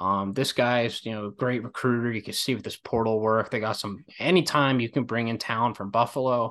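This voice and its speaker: Speaking at a fairly quick pace with hardly any pauses, a man with an East Coast US accent holds a medium pitch and fairly even intonation over a quiet background. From Philadelphia area, US. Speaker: college basketball podcaster. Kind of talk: casual chat.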